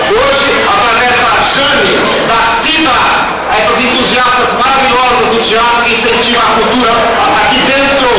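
The recording has loud background noise and audible room echo. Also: man. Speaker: presenter. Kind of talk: speech introducing a play to students. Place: classroom.

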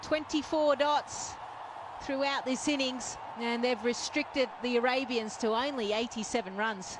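Amid noticeable background noise, a woman speaks very slowly at a high pitch, with ordinary pitch variation. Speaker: cricket commentator. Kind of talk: live commentary.

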